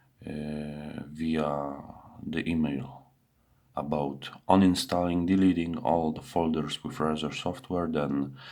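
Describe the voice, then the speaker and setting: A man's very deep, low voice with a dark, mellow tone, very slow pace and fairly even intonation, audible room echo around it. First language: not English. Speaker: PC user reporting a tech issue. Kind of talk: screen-recorded bug report narration. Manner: halting, many fillers and self-corrections.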